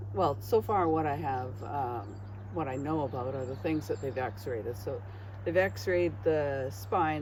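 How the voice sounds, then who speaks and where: The speech comes at a very slow pace. Audible room echo surrounds it. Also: woman. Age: 60s. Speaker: retired traveller and artist. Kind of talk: casual chat.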